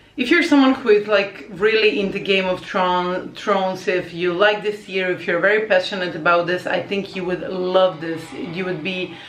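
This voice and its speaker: A woman with a Croatian accent speaks at a moderate pace and medium pitch, with ordinary pitch variation and hardly any pauses. Noticeable background noise runs underneath. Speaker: language teacher and vlogger. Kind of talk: casual vlog talk. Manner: hesitant with many fillers.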